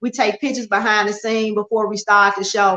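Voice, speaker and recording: Loud and bright with a sharp tone, a woman talks fairly quickly at a medium pitch in a monotone, flat delivery. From Memphis, Tennessee (US South). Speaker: model and talk show host. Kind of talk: interview.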